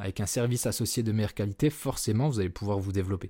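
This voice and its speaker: A man speaks very fast at a medium pitch with a dark, mellow tone and ordinary pitch variation, on a very clean recording with a silent background. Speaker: podcast host and ad agency founder. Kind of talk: solo podcast tutorial. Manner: unscripted, with hesitations and stumbling.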